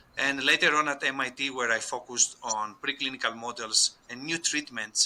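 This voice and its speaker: With a Greek accent, this man speaks at a medium pitch in a bright, sharp tone and ordinary pitch variation. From Greece. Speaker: scientist and company co-founder. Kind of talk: podcast interview.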